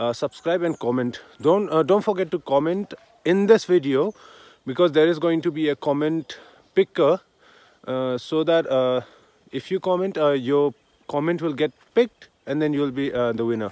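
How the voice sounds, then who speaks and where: With long, frequent pauses, a man speaks at a moderate pace and with ordinary pitch variation in a dry sound with no echo. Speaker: vlogger. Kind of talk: casual vlog chat. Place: open country. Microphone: phone near.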